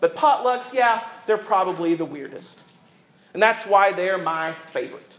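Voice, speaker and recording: A man with a Southern US accent and a high pitch speaks amid audible room echo. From US South. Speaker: pastor. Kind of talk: sermon. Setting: church.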